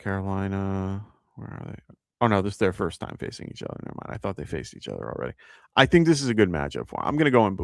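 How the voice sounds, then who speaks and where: A man with a New York accent speaks in a fairly low pitch. The recording is very clean, with a silent background. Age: 40s. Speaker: fantasy football podcast host. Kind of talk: live advice show answering chat questions. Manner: casual, many filler words.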